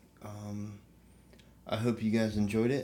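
This man speaks with monotone, flat intonation. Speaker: podcast co-host. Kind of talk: casual banter. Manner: joking, profane.

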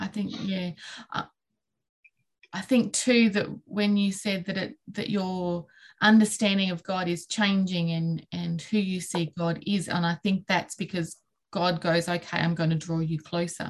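This is a woman's voice, somewhat breathy. She speaks at a fairly slow pace. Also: medium pitch for a woman, fairly even intonation. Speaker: podcast host. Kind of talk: casual chat.

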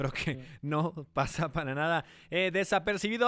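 This man's high voice comes through on a very clean recording against a silent background. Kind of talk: radio sports panel discussion, match analysis. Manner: conversational, fluent, analytical.

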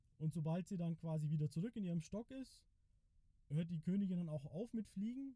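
Ordinary pitch variation marks a man's voice with a dark, mellow tone. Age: 30s. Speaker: beekeeper and farmer. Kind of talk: casual interview.

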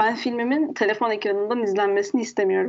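A woman speaking at a very fast pace. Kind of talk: casual chat.

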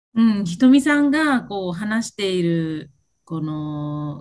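Somewhat breathy, a woman speaks at a fairly slow pace in a medium pitch. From Japan, Okinawa. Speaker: self-care coach. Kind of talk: casual chat. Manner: halting, many fillers.

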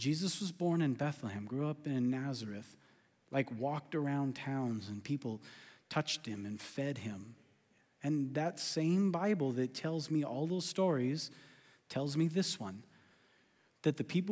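A man's fairly high voice with an American accent, fairly slow and lively in intonation, with long, frequent pauses, in a very clean recording with a silent background. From California. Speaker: pastor. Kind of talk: sermon. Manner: animated.

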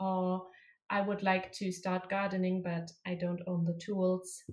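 Her voice is somewhat breathy. The woman talks at a fairly slow pace. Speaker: master's student and environmental activist. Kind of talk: interview.

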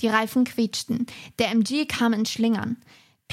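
The speaker is reading aloud in a natural voice against a quiet background.

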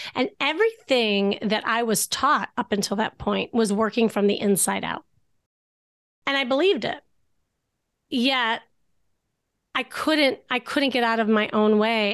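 A woman with a fairly high pitch and ordinary pitch variation talks at a fairly slow pace, pausing long and often, over a quiet background. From US Midwest, Chicago. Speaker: dating coach and therapist. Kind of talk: interview.

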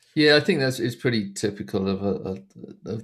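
A man talks at a very fast pace with an Essex accent. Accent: southern English (Essex). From Essex, England. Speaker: documentary filmmaker. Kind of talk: interview. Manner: halting, many fillers.

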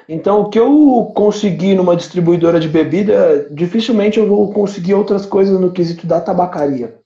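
A man with a high pitch, moving at a moderate pace amid noticeable background noise. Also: ordinary pitch variation. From Brazil, São Paulo (São Miguel). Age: 30s. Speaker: entrepreneur, liquor store owner. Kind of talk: casual chat. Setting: live stream.

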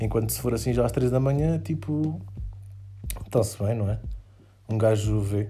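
Room echo can be heard as a man talks at a moderate pace with a fairly low pitch and ordinary pitch variation. He takes long, frequent pauses. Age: 20s. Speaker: podcast host. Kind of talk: casual monologue. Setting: home bedroom at night. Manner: animated.

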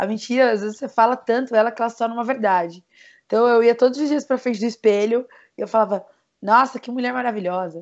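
Fairly even intonation runs through speech at a fairly quick pace. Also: woman. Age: 20s. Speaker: digital marketing entrepreneur. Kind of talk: personal testimony in podcast interview.

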